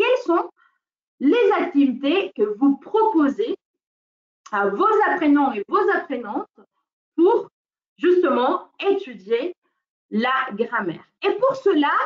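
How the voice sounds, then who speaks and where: In a non-native accent, the speaker moves at a very slow pace with long, frequent pauses and very wide pitch swings. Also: woman, high pitch for a woman. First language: not French (speaking French). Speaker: teacher trainer. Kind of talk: webinar training. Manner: hesitant, many fillers.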